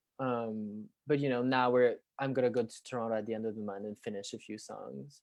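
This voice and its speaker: A man of medium pitch speaks in a Quebec accent at a fairly quick pace with ordinary pitch variation. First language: French. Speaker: musician. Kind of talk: interview. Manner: hesitant, many fillers.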